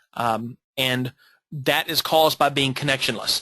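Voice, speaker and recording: A man with an American accent speaks in a fairly high voice with a bright, sharp tone. The sound is dry and close, without echo. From Texas. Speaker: college instructor. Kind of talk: lecture. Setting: online seminar. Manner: halting, many repetitions.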